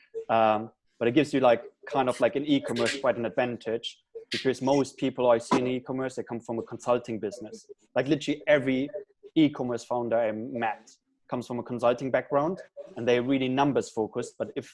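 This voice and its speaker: With a German accent, a man talks very fast at a medium pitch, his intonation fairly even. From Germany. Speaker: startup founder. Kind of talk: panel interview.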